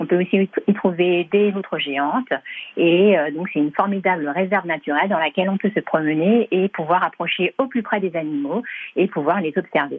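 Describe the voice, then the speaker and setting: Her pace moderate, a woman speaks at a medium pitch with ordinary pitch variation. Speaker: theme park representative. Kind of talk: radio interview.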